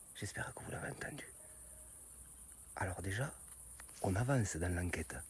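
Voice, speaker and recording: A soft-spoken man talks at a fairly low pitch with vocal fry and very wide pitch swings. The recording is very clean, with a silent background. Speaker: YouTuber investigating strange noises. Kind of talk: vlog. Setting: outdoors at night.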